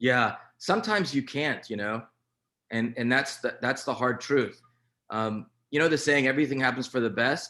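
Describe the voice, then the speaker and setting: The man's voice sits at a medium pitch with a bright, sharp tone. His pitch varies in an ordinary way, and his pace is moderate. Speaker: physician presenting a treatment approach. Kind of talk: webinar presentation and Q&A. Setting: online video call with screen sharing.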